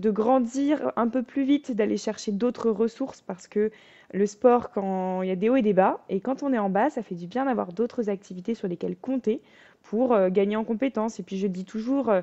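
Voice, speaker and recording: This woman's voice has a dark, mellow tone and a fairly high pitch with ordinary variation. She speaks at a moderate pace, with a dry, close sound and no echo. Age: 20s. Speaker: fencer and business speaker. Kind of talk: podcast interview.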